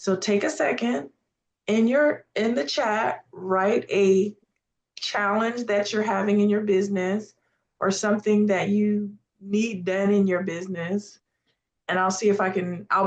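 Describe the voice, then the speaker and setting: A woman with a normal speaking voice talks at a fairly slow pace, her pitch medium and its variation ordinary. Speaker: AI prompting instructor. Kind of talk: live webinar workshop.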